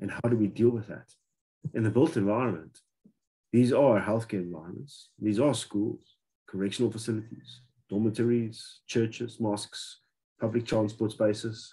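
A man's dark, mellow, somewhat breathy voice with fairly even intonation against a quiet background. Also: moderate pace. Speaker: healthcare facility design expert; webinar presenter. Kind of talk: lecture. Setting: video call. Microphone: video call.

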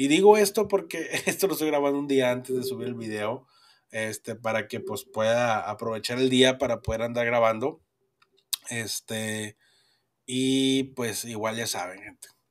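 A man speaks at a fairly slow pace in a northern Mexican accent. His loudness swings widely, while his pitch varies in an ordinary way. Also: medium pitch for a man. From northern Mexico. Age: 30s. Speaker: podcast host. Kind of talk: casual chat.

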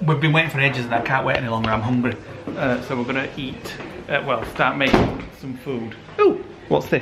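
Over loud background noise, a man speaks at a fairly quick pace with fairly even intonation. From England. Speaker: vlogger. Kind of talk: casual vlog talk. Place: kitchen. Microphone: phone near.

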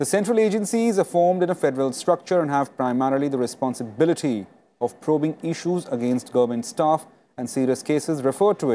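A man with an Indian accent, a dark, mellow tone, very wide pitch swings and a fairly quick pace. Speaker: TV news anchor. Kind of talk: panel discussion moderation. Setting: studio. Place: studio. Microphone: lapel.

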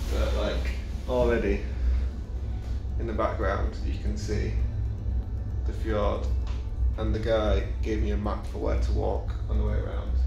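A man talks in a very deep, low pitch with monotone, flat intonation at a fairly slow pace, leaving long, frequent pauses. Clear music plays in the background, and room echo is audible. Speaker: solo traveller vlogger. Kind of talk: casual vlog chat. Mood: cheerful, joking. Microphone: phone near.

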